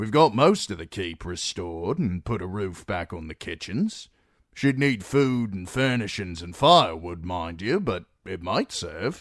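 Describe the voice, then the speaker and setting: A man's put-on character voice, fairly low in pitch, with lively intonation, big swings in loudness, and a moderate pace. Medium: read story.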